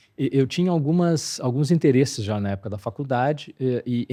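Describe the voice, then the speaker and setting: A quiet background sits behind the voice. Its tone is dark and mellow. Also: man. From southern Brazil, Porto Alegre. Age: 60s. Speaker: veterinarian. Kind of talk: interview conversation. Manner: hesitant, many fillers.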